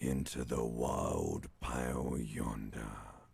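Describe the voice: A man in a raspy put-on character voice with very deep, low pitch, monotone, flat intonation and a very slow pace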